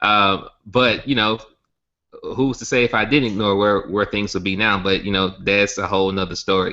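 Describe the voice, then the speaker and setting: Fairly even intonation in a Southern US accent. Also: man, fairly low pitch for a man, moderate pace. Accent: Southern US country. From Alabama. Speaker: network marketing company founder. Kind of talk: sales pitch webinar. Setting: online webinar hangout.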